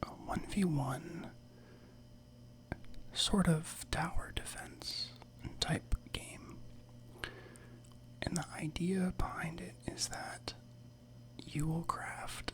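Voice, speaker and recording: A whisper at a very slow pace, relaxed and calm in tone, with long, frequent pauses. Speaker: ASMR gaming channel host. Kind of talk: casual gameplay commentary and tutorial. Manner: soft-spoken, relaxed, calm.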